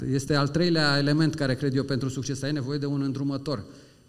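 Speaking at a fairly quick pace and a fairly high pitch, a man is heard with audible room echo. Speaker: HR director. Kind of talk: public talk. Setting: stage with audience.

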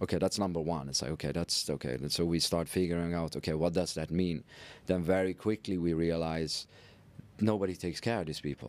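Over a very clean recording with a silent background, a man with a Dutch accent speaks at a fairly quick pace, with a very deep, low pitch and fairly even intonation. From Netherlands. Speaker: entrepreneur and philanthropist. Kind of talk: interview.

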